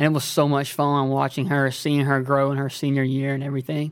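A man speaks in an Alabama accent. His pitch is fairly high and his pace fairly quick. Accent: Southern US (Alabama). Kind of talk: casual interview chat.

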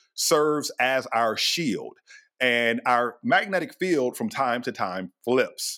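At a fairly slow pace, a man with an American accent talks at a medium pitch in a normal speaking voice. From US. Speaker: astrophysicist. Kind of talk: interview. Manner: casual.

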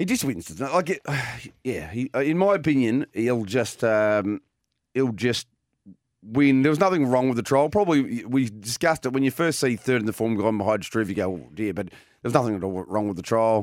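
Here a man talks with an Australian accent at a medium pitch. His pace is moderate and his intonation lively. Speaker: harness racing presenter. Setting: studio broadcast.

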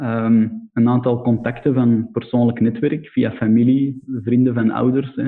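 A man speaks very slowly in a Flemish accent, at a medium pitch. His intonation is monotone and flat, and his loudness stays very even. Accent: Flemish Belgian Dutch. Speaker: entrepreneur, business founder. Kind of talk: casual interview.

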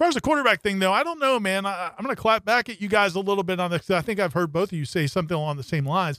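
In a very clean recording with a silent background and a dry, close sound with no echo, a man speaks very fast at high pitch, with lively intonation and hardly any pauses. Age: 50s. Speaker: sports editor. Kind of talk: casual sports talk show. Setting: radio studio.

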